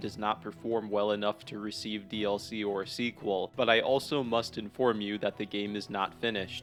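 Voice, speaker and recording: Over music in the background, a man speaks in a fairly low voice with monotone, flat intonation. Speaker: game reviewer. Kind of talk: video essay narration.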